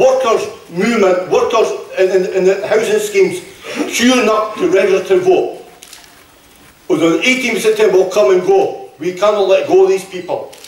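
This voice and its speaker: A man with a Scottish accent talks at a moderate pace with a high pitch and ordinary pitch variation, with audible room echo and noticeable background noise. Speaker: trade union speaker. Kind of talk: political rally speech. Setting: hall with audience. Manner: impassioned.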